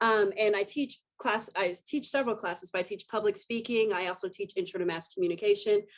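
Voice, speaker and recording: Against a quiet background, a woman of medium pitch talks at a fairly quick pace with ordinary pitch variation and hardly any pauses. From Texas, Abilene. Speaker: professor. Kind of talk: interview.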